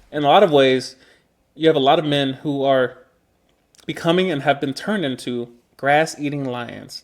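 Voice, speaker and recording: A man at a moderate pace, his pitch fairly high. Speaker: vlogger. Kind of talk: casual monologue. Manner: loud.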